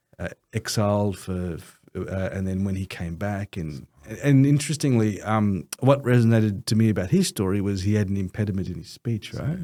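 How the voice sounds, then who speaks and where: With an Australian accent, a man talks at a moderate pace in a fairly low pitch, his pitch varying in an ordinary way. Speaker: lawyer and Islamic finance co-founder. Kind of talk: podcast interview. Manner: halting.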